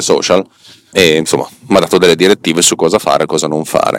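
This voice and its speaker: Very fast and monotone, a man talks in a very deep, low pitch with flat intonation. The sound is dry and close with no echo, though background noise is noticeable. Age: 40s. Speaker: podcast host. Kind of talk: monologue. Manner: halting.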